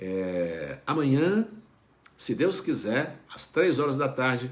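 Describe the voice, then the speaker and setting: Very slow delivery marks this voice. Its pitch rises and falls across a very wide range. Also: man, medium pitch for a man. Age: 60s. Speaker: pastor. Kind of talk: devotional talk. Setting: online video broadcast. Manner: conversational, with fillers.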